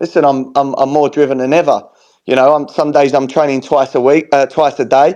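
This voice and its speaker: A fairly quick-paced man with a fairly high pitch, a dark, mellow tone and very even loudness. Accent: Cockney. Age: 40s. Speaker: boxer. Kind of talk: heated debate. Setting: online audio space. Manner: animated.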